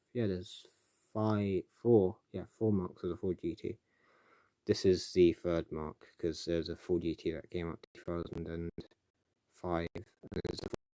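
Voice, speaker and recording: A man's very deep, low voice with a dark, mellow tone, fairly even intonation, big swings in loudness and long, frequent pauses, dry and close with no echo. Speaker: YouTuber live streaming. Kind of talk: casual live stream chat. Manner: fast; rambling, halting with fillers.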